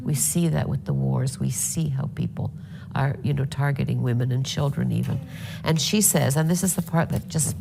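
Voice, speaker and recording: A woman speaks at a moderate pace with noticeable background noise around her. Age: 70s. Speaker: speaker on climate and leadership. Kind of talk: panel discussion. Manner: calm, measured.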